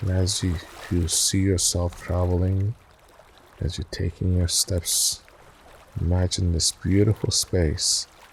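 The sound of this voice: A man speaks slowly in a low pitch with little pitch movement, vocal fry and a slightly husky edge. His tone is soothing and calm.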